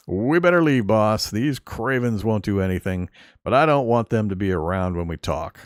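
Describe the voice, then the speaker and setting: A raspy, put-on character voice at a moderate pace. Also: man, fairly low pitch for a man. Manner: low, wary.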